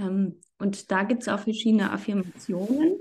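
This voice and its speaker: At a fairly slow pace, a woman speaks in a somewhat breathy voice. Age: 30s. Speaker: freelance journalist. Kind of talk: podcast interview.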